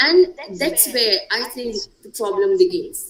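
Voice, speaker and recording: Amid noticeable background noise, a woman speaks very slowly at a high pitch with very wide pitch swings. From India, Gujarat. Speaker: panelist. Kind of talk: panel discussion.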